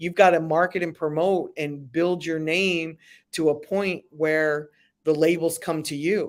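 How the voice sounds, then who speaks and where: On a very clean recording with a silent background, a woman with an American accent speaks at a fairly slow pace in a fairly low pitch with monotone, flat intonation. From Philadelphia, US. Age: 60s. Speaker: music business consultant. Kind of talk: interview.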